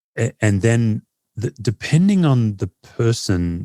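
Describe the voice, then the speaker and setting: In an Australian accent, a man speaks fairly slowly with a fairly low pitch and a dark, mellow tone, the sound dry and close with no echo on a very clean recording with a silent background. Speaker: pastor and author. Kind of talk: podcast interview.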